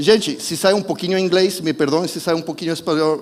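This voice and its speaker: Speaking fairly quickly with a non-native accent, a man uses a high pitch over noticeable background noise. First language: not Portuguese (speaking Portuguese). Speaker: preacher. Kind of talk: sermon. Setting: church service streamed online. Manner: halting, self-correcting.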